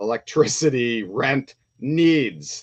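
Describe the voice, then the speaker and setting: A man with ordinary pitch variation. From Windsor, Ontario, Canada. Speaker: toy collector YouTuber. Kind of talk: live stream chat. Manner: fast; animated.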